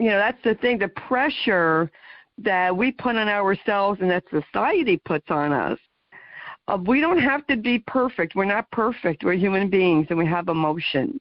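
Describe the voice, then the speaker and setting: A woman's normal speaking voice with an American accent, medium in pitch, lively in intonation, very even in loudness, at a moderate pace. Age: 60s. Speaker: talk show host, guest. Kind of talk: radio interview chat.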